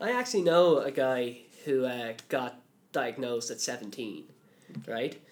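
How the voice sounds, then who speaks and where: A man with a Dublin accent speaks at a medium pitch and a fairly slow pace, his pitch varying in an ordinary way, with long, frequent pauses. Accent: Dublin Irish. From Ireland, Dublin. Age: 20s. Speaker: college worker, podcast guest with dyslexia. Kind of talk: interview. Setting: studio.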